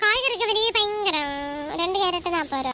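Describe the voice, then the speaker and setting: A woman uses a put-on character voice, squeaky and extremely high in pitch. Her intonation is lively and her pace fairly slow. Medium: cartoon. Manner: scolding, sarcastic.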